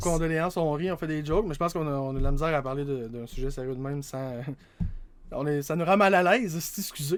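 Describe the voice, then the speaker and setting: Very fast in pace, a man speaks at a fairly high pitch with ordinary pitch variation. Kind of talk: casual podcast conversation.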